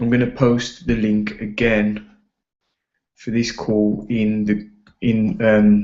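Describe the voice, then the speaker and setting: A man speaks quietly in a fairly low pitch. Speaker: network marketing team leader. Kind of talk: training call. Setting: online video call. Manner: quiet, hushed; casual, energetic.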